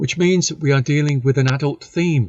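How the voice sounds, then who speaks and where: This voice is somewhat breathy, with ordinary pitch variation. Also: man. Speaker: podcast host. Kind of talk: podcast introduction.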